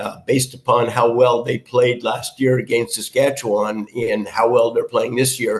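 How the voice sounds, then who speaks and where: This man's voice is somewhat breathy, with monotone, flat intonation. He speaks with hardly any pauses. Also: medium pitch for a man, moderate pace. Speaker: retired university football coach. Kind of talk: podcast interview. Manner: hesitant, many fillers.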